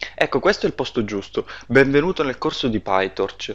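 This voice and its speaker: Ordinary pitch variation in a man's speech. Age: 20s. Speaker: data scientist and course instructor. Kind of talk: course introduction. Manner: hesitant, frequent filler sounds.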